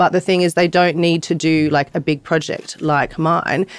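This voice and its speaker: Fairly low in pitch, a woman with an Australian accent speaks with fairly even intonation, the sound dry and close with no echo. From Australia, Bondi (Sydney). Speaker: artist and NFT project founder. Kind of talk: interview. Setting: live event in LA.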